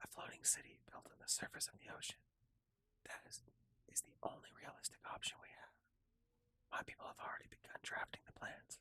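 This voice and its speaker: Whispering comes at a fairly quick pace, broken by long, frequent pauses. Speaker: ASMR gaming creator. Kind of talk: ASMR reading of game lore texts for sleep. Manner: whispered.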